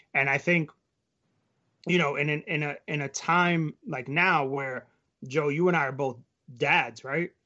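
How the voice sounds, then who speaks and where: Pausing long and often, a man with an American accent speaks in a fairly high voice with fairly even intonation. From New York. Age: 30s. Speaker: sports blog writer. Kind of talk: casual discussion.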